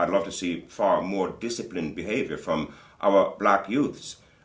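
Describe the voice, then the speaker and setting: The man's voice is very deep and low, with audible room echo around it. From Jamaica, raised in Britain (London). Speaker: community business leader and singer. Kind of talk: interview. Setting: studio.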